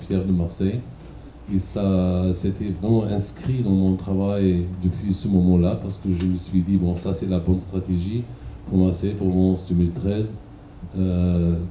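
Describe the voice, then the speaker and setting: A man's very deep, low voice in a German accent, fairly slow with fairly even intonation, with audible room echo. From Germany. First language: German (speaking French). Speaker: cultural event director. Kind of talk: conference talk.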